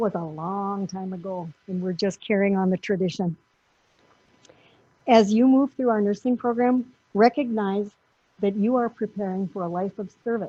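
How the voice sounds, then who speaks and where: This is a woman with a medium pitch. Her pitch variation is ordinary. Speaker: nursing school dean. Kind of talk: ceremony speech. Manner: loud.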